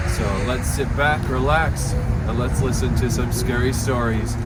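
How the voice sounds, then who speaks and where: A man at a fairly slow pace and very even loudness, with music in the background. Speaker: voice actor. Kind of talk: podcast intro.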